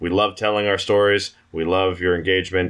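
A man speaks at a moderate pace in a fairly low voice, an unremarkable speaking voice, over a quiet background. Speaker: player in a tabletop RPG podcast, outro speaker. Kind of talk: casual banter and podcast outro.

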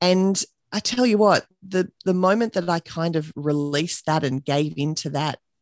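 A woman with an Australian accent speaks with lively intonation. The sound is dry and close with no echo over a quiet background. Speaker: business owner and mother. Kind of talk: casual interview chat.

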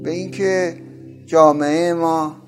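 This man speaks in a monotone, with flat intonation throughout. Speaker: university professor and literary translator. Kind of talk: interview monologue.

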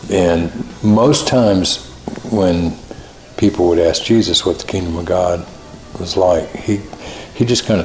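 A man's very deep, low voice at a moderate pace, ordinary pitch variation, music in the background. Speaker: music industry executive and former musician. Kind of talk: interview.

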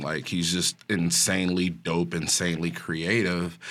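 A man with a Chicago accent, very deep and low in pitch, bright and sharp in tone, at a very slow pace, in a very clean recording with a silent background. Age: 40s. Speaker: brewer. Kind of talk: casual chat. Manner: passionate.

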